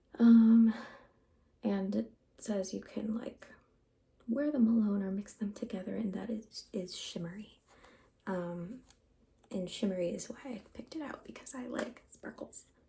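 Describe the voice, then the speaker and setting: A soft-spoken woman's fairly high voice, dark and mellow in tone and somewhat breathy, with a relaxed tone, a fairly slow pace, ordinary pitch variation, big swings in loudness, and long, frequent pauses. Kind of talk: ASMR get ready with me, casual talk to camera. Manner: soft-spoken, relaxed.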